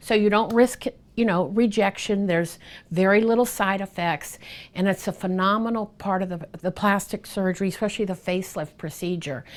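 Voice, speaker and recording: A woman's normal speaking voice, medium in pitch with ordinary pitch variation and a fairly quick pace, on a very clean recording with a silent background. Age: 60s. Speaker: plastic surgery patient. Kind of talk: patient testimonial interview answer.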